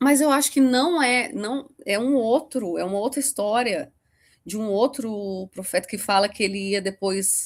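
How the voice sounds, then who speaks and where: Recorded very cleanly against a silent background, a woman speaks at a fairly high pitch and fairly slow pace with ordinary pitch variation. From Brazil, Rio de Janeiro state. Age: 40s. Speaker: podcast guest. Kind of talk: interview testimony. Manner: halting.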